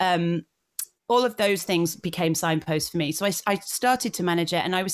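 A woman speaks with a Yorkshire accent at a fairly low pitch. Her pace is fairly quick. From northern England, North Yorkshire. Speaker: blogger and digital creator. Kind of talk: interview.

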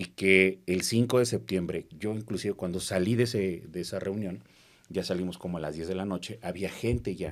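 Here a man with a plain, everyday voice talks at a moderate pace, with ordinary pitch variation. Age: 40s. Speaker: politician. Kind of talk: casual interview.

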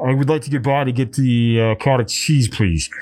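A man's medium-pitched voice with an American accent on a very clean recording with a silent background. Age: 30s. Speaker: podcast host. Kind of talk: casual chat. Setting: live stream with chat. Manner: chatty, upbeat.

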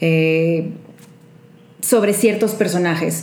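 A woman speaks in a Monterrey accent. There is noticeable background noise. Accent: regio Monterrey. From Monterrey, Mexico. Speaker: professional skater and performer. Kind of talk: casual chat, anecdotes.

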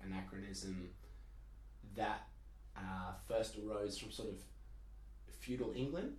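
Moderate-paced speech from a man, with noticeable background noise. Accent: Australian. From Perth, Australia. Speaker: student. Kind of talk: casual chat.

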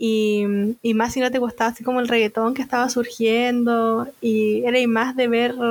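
The woman's voice sits at a high pitch. Her intonation stays fairly even. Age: 30s. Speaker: nurse. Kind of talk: casual chat.

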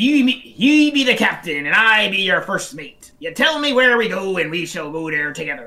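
Delivered at a moderate pace with hardly any pauses, this put-on character voice has a middle pitch and very wide pitch swings. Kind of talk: archaic pirate speech. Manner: playful, theatrical.

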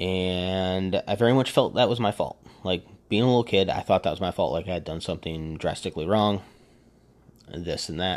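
Against a quiet background, a man with a very deep, low pitch talks at a moderate pace in an animated, passionate tone with ordinary pitch variation. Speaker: podcast host. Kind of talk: solo podcast monologue, personal and emotional. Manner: animated, passionate, halting with fillers.

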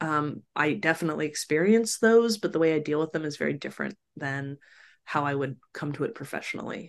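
A woman with a very deep, low voice speaks fairly quickly with lively intonation. The background is quiet. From Sacramento, California. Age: 40s. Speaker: communications and crisis professional. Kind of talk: casual interview chat.

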